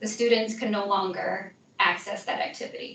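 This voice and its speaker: A woman speaks at a moderate pace with fairly high pitch and fairly even intonation. The recording has audible room echo and noticeable background noise. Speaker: instructional technology trainer. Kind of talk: software training session.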